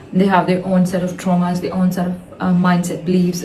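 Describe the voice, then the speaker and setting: A woman of medium pitch speaks at a fairly quick pace over noticeable background noise, with audible room echo. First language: not English. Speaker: vlogger. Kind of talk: casual monologue. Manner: hesitant, many fillers.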